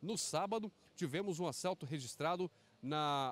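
A man's high voice with lively intonation and a dry sound with no echo. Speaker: TV news reporter. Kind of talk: news report stand-up. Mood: serious, informative. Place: street. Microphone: handheld.

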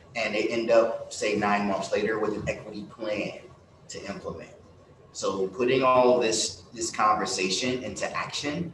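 A man speaks with an American accent. Noticeable background noise and audible room echo fill the recording. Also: moderate pace. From Central Florida. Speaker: foundation executive; panelist. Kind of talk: panel discussion. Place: stage.

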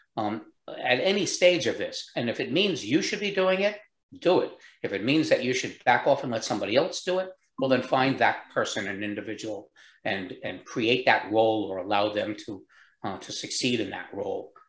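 Very wide pitch swings at a moderate pace, with audible room echo over a quiet background. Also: man, medium pitch for a man. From US Northeast, New York State. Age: 70s. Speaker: entrepreneur; guest. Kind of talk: interview. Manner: uses many filler words. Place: home room. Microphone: video call.

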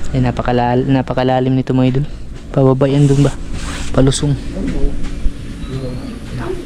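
Noticeable background noise is present. A man speaks at a moderate pace over it. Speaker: vlogger. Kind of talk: casual vlog narration. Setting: outdoors, travelling by bus and ferry.

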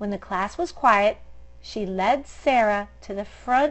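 The voice is natural. It reads aloud.

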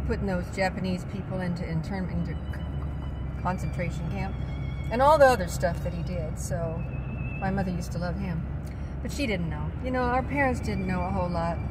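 A woman at a fairly quick pace amid loud background noise. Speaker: vlogger. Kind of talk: casual monologue. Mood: opinionated, earnest. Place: car. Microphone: phone near.

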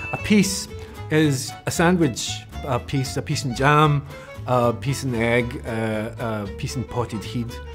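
A man with a Scottish accent, very slow, medium in pitch, with very wide pitch swings and clear music in the background. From Scotland. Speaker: actor. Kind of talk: interview answer. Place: studio. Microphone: lapel.

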